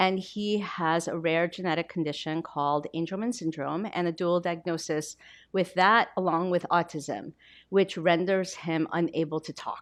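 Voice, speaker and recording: Against a quiet background, a woman speaks in a Korean accent. Her pitch is fairly low and her intonation fairly even. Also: moderate pace. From Korea, then Baltimore from age eleven. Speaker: novelist. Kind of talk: author talk, onstage interview. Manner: conversational, with fillers.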